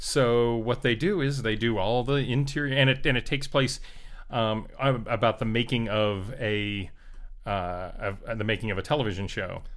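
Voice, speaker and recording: With ordinary pitch variation and a medium pitch, a man talks at a moderate pace in an ordinary speaking voice. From South Florida. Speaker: Steadicam operator. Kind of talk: casual chat. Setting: in person, over beers.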